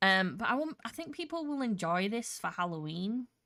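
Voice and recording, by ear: On a very clean recording with a silent background, a woman speaks at a moderate pace. Her medium-pitched voice has a fairly bright tone and big pitch swings.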